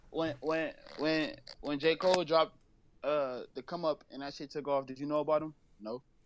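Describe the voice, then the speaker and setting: A man talks in a plain, everyday voice at a fairly high pitch and moderate pace. His intonation is fairly even, but his loudness swings a lot. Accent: American. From Los Angeles. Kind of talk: interview. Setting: phone call.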